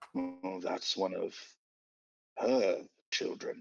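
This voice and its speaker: A man puts on a raspy character voice. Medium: actual play. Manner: hesitant, stammering.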